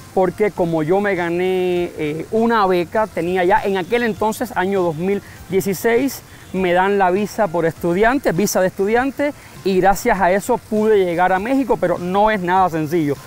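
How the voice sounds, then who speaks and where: Against noticeable background noise, a man with a high pitch speaks at a fairly slow pace with ordinary pitch variation. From Cuba, San Antonio de los Baños area. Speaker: Cuban immigrant interviewee. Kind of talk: interview. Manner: speaks slower than typical Cuban speech.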